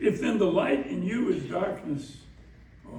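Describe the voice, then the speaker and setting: Against noticeable background noise, a man with a high-pitched voice speaks at a fairly slow pace with lively intonation. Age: 80s+. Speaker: minister. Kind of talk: scripture reading and prayer.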